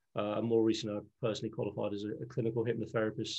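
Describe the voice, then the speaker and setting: At a very fast pace, a man with a Liverpool accent speaks at a medium pitch with monotone, flat intonation. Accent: Scouse (Liverpool). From Liverpool, England. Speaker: leadership trainer and NLP coach. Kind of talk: interview.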